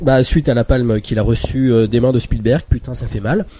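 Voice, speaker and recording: A man speaks at a medium pitch and a fairly slow pace. His tone is dark and mellow. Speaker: film podcast panelist. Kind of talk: casual chat.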